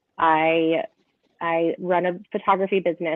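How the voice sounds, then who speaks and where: An ordinary speaking voice with an American accent and fairly even intonation. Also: woman. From Northern California. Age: 30s. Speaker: podcast guest, photographer. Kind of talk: casual chat.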